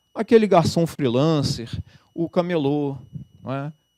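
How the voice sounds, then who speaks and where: Music plays in the background as a man in a Rio de Janeiro accent talks at a fairly slow pace, the sound dry and close with no echo. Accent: carioca. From Rio de Janeiro, Brazil. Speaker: labour judge and law professor. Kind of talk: lecture. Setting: lecture hall with audience.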